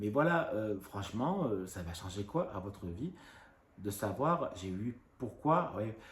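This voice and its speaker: A man with a fairly low, somewhat breathy voice speaks with lively intonation. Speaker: YouTuber. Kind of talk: casual rant to camera. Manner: trouble pronouncing some sounds.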